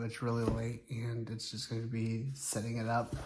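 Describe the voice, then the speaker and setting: Somewhat breathy and medium-pitched, a man talks at a moderate pace. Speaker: YouTuber. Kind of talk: casual unboxing vlog. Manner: soft-spoken.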